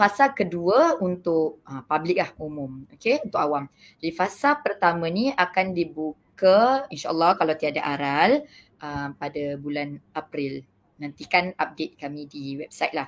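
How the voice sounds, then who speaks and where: Using an ordinary speaking voice, a woman talks at a fairly slow pace with lively intonation and big swings in loudness. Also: fairly low pitch for a woman. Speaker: kindergarten principal. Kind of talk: panel discussion.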